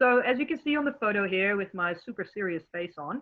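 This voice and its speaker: The speaker is a woman with a Dutch accent. She talks at a moderate pace. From Netherlands. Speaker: marine biologist. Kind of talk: educational presentation.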